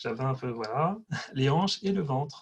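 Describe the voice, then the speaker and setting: His voice sits fairly high for a man. There is a somewhat breathy quality to this man's speech. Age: 30s. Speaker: testimonial giver. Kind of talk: testimony. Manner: hesitant, many fillers.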